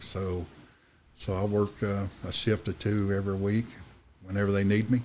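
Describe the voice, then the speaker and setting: A fairly low-pitched man with a Kentucky accent at a moderate pace. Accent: Kentucky Southern. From Kentucky, Washington County. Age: 60s. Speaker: insurance agent and turkey conservation volunteer. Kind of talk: casual interview chat. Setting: studio. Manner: halting, many fillers.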